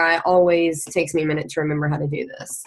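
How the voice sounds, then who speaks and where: A woman with a Southern Indiana accent at a fairly quick pace, over noticeable background noise. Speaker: team leader, former teacher. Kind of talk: presentation. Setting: video call. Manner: fast.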